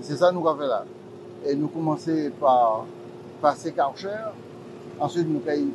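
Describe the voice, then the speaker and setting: Noticeable background noise is present. A man speaks through it at a fairly slow pace. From Martinique. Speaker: local politician. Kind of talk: political statement.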